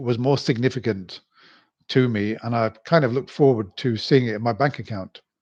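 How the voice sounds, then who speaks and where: Against a quiet background, a man with a British accent speaks at a moderate pace, with medium pitch and fairly even intonation. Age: 60s. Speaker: YouTuber. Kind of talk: live stream monologue. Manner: halting.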